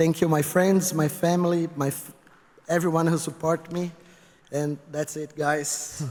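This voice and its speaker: A man's fairly high voice at a fairly slow pace, monotone and flat, with noticeable background noise. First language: not English. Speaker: retired esports pro player, award honoree. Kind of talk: acceptance speech. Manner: halting.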